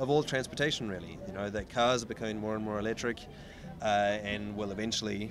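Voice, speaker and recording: A man with a New Zealand accent talks at a very fast pace. His fairly low voice holds fairly even intonation. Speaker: ocean racing sailor. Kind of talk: interview. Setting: outdoors. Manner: halting.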